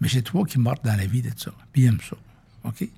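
This man's tone is dark and mellow, with vocal fry and lively intonation. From Quebec, near Saint-Hyacinthe. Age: 60s. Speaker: company founder and president. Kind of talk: interview conversation.

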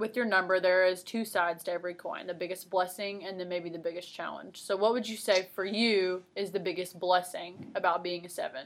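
A woman talks at a fairly quick pace with fairly even intonation. She has a normal speaking voice. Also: medium pitch for a woman. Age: 20s. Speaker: podcast host. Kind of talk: casual chat.

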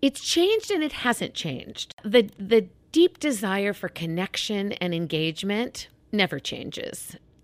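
Very wide pitch swings at a fairly slow pace, in a very clean recording with a silent background and a dry, close sound with no echo. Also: woman, medium pitch for a woman. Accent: American. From Kansas (Wichita). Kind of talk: interview.

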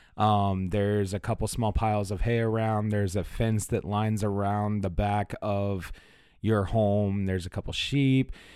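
Over a very clean recording with a silent background, a man talks at a moderate pace in a fairly low pitch, with a dark, mellow tone and monotone, flat intonation. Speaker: tabletop game master and podcast host. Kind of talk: tabletop role-play storytelling. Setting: studio.

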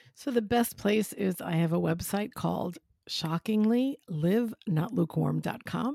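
At a fairly slow pace, the speaker uses lively intonation in a somewhat breathy voice with a dark, mellow tone. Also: woman, medium pitch for a woman, dry, close sound with no echo. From New York, Italian-American. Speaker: spiritual director and parish minister. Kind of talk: casual faith conversation.

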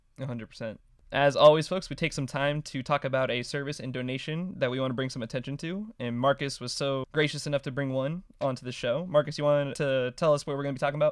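Hardly pausing at all, a man rushes through his words at a very fast pace. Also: fairly even intonation. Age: 20s. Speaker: podcast host. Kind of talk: casual chat.

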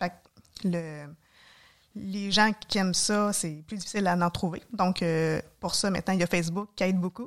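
On a very clean recording with a silent background, a woman speaks at a moderate pace in a medium pitch with fairly even intonation. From Quebec, Mauricie (Trois-Rivières area). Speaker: nurse and hiker. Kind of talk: casual interview.

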